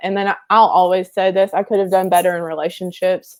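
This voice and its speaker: Recorded very cleanly against a silent background, a woman speaks at a medium pitch. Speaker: elementary school teacher. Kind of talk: casual interview. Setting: Facebook live stream. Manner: monotone and chill.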